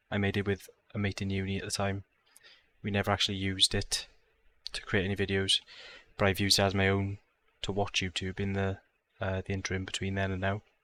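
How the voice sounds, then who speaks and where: A man with a South Wales accent talks at a very fast pace with long, frequent pauses, a fairly low pitch, a bright, sharp tone, and monotone, flat intonation, recorded dry and close with no echo. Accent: Welsh (South Wales). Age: 20s. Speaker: gaming YouTuber. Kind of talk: casual vlog talk to camera. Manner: casual, with many fillers (um, uh).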